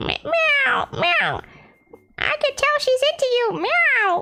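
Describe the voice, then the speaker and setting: An extremely high-pitched, put-on character voice. The delivery is very slow. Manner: playful, teasing.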